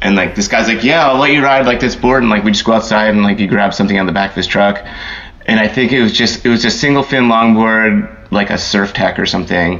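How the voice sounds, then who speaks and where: Noticeable background noise sits behind a man talking at a very fast pace. His medium-pitched voice holds a very even loudness. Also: ordinary pitch variation. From US Northeast, Philadelphia. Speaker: surf photographer. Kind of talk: interview.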